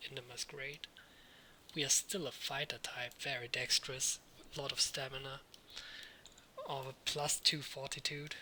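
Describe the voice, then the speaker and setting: With noticeable background noise, a man with a non-native accent and fairly high pitch speaks at a moderate pace in a monotone, flat intonation, taking long, frequent pauses. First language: not English. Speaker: let's read gamer. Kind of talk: casual gameplay commentary.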